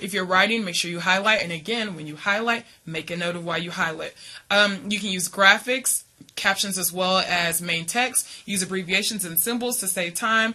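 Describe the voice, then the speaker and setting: A woman talks at a medium pitch against noticeable background noise. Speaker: college reading instructor. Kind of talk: lecture. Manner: fast; hesitant, many fillers.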